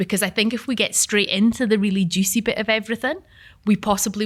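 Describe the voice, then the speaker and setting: Speaking at a fairly quick pace with a southern Scottish accent, a woman shows ordinary pitch variation on a very clean recording with a silent background. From southern Scotland, Gretna. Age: 30s. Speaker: event facilitator. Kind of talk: panel moderation. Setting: live event with audience.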